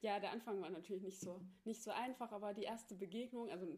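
With a Thuringian accent, a woman at medium pitch talks at a fairly quick pace. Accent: Thuringian dialect, noticeable. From Thuringia, Germany (Ilmenau). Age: 20s. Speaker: podcast guest, host's best friend. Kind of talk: casual chat. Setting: friend's attic apartment.

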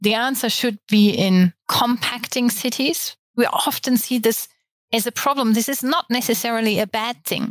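In a very clean recording with a silent background, a woman with a German accent speaks at a moderate pace in a fairly high pitch, her intonation fairly even and the sound dry and close with no echo. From Germany. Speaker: architect. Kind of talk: interview.

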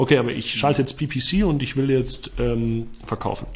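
This man's medium-pitched voice has vocal fry, ordinary pitch variation and a moderate pace. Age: 20s. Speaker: entrepreneur and marketing consultant. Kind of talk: interview. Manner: casual, many filler sounds.

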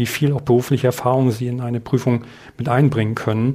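A man speaks in a flat monotone with a dark, mellow tone at medium pitch. The recording is very clean with a silent background. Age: 50s. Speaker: adult education lecturer. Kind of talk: interview.

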